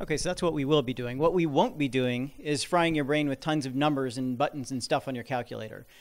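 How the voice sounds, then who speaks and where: In a very clean recording with a silent background, a man with a fairly high pitch talks at a very fast pace with ordinary pitch variation. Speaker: app developer and investor. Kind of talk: seminar talk.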